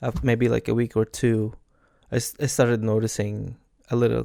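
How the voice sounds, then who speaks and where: A man with a Filipino accent, a dark, mellow tone and a medium pitch at a moderate pace, dry and close with no echo, in a very clean recording with a silent background. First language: Tagalog. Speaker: podcaster. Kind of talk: casual chat. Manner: halting.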